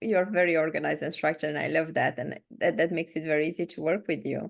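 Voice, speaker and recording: A woman talks at a very fast pace with hardly any pauses and a fairly low pitch. Her voice carries vocal fry against a quiet background. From Romania. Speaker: podcast co-host. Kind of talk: casual chat.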